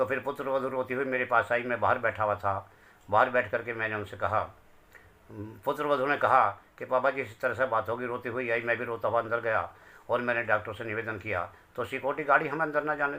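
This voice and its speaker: Bright and sharp in tone, a man speaks at a medium pitch. His pace is moderate and his intonation fairly even. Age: 60s. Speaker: bereaved father. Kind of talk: testimony.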